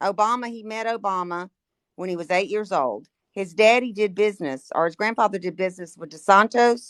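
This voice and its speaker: In a very clean recording with a silent background, a woman with an unremarkable speaking voice talks at a fairly quick pace with lively intonation. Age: 60s. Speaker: caller. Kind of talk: heated debate.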